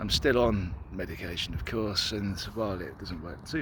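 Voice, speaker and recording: In a British accent, this voice carries ordinary pitch variation with audible room echo. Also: man. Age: 30s. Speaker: person telling own health story. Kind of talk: personal testimony.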